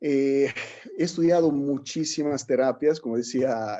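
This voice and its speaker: In an Italian accent, a man with a medium pitch and a dark, mellow tone speaks at a fairly slow pace. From Italy. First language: Italian (speaking Spanish). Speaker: alternative medicine instructor. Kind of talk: workshop lecture. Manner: halting, with repetitions.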